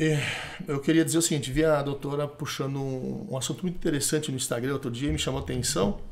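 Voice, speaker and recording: Talking at a very fast pace with ordinary pitch variation, a man is heard with audible room echo. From Brazil, interior of Rio Grande do Sul, German ethnicity. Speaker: supplement creator, entrepreneur. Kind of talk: podcast conversation. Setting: studio podcast table. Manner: talkative, hesitant repetitions.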